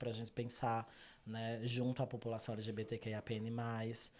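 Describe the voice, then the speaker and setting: The recording is very clean, with a silent background. A man with a Brazilian accent talks at a medium pitch. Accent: non-São Paulo regional accent, noticeable. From Brazil, interior of Pernambuco. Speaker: psychologist. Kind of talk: interview conversation. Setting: video podcast recording.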